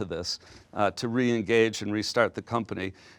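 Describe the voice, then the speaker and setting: A man speaks at a fairly quick pace in an ordinary speaking voice, the sound dry and close with no echo. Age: 60s. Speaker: business executive. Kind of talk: lecture. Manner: casual.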